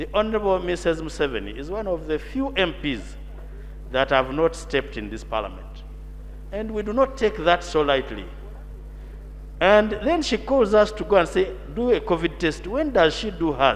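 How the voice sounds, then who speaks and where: A man talks at a moderate pace with long, frequent pauses. Noticeable background noise is present. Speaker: member of parliament. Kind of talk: parliamentary debate. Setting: parliament chamber. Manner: formal.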